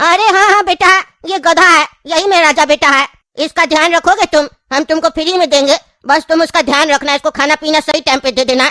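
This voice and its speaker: Delivered at a fairly quick pace, this cartoonish character voice is high-pitched. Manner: earnest, rustic Hindi, calls everyone beta.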